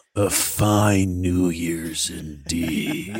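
A put-on character voice from a man, very deep and low, with fairly even intonation. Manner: ominous, devilish.

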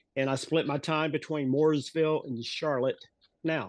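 A man with an American accent and a plain, everyday voice, fairly high in pitch, at a moderate pace. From US South, North Carolina. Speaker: wrestling referee. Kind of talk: interview.

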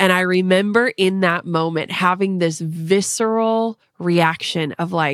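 A woman with an American accent has an unremarkable speaking voice, a medium pitch with ordinary variation, and a dry, close sound with no echo. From Minnesota. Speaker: entrepreneur and podcaster. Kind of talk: casual interview.

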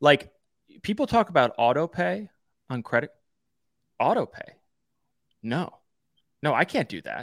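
A man's fairly high-pitched, animated voice with vocal fry, very wide pitch swings and big swings in loudness, at a moderate pace with long, frequent pauses, in a dry, close sound with no echo. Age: 30s. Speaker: sports betting podcast co-host. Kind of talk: casual chat.

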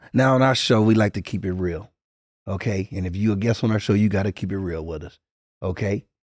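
At a fairly quick pace, a man talks in a normal speaking voice. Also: fairly low pitch for a man, ordinary pitch variation, very clean recording, silent background. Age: 40s. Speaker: podcast co-host. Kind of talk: casual chat.

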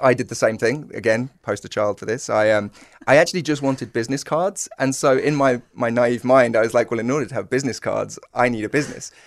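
A man speaks at a very fast pace with a British accent, his pitch medium and its movement ordinary. The background is quiet. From UK. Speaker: fintech company co-founder. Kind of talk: podcast interview.

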